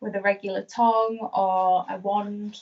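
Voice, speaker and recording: A woman with a Yorkshire accent speaks at a medium pitch with fairly even intonation. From Yorkshire, northern England. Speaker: hairstylist. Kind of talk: live tutorial demonstration. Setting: live stream.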